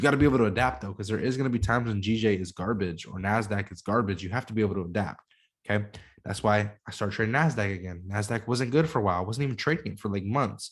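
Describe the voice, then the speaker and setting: Over a quiet background, a man talks at a very fast pace in an animated tone with a fairly low pitch. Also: ordinary pitch variation. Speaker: forex trader streaming. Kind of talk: live stream tutorial with Q&A. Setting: live stream. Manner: slightly slurred, not speaking clearly; casual, animated.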